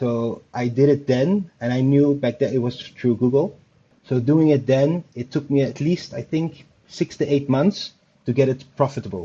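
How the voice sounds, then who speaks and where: A man talks at a moderate pace. His voice sounds somewhat breathy. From Netherlands. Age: 30s. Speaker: online store owner, program student. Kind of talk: interview. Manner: halting, hesitant; quiet.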